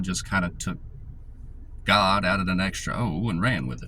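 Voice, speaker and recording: With a Southern US accent, a man talks at a moderate pace with lively intonation and vocal fry, and audible room echo surrounds his voice. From US South, rural north Georgia mountains. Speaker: YouTuber. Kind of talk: casual monologue. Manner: casual, filler-heavy.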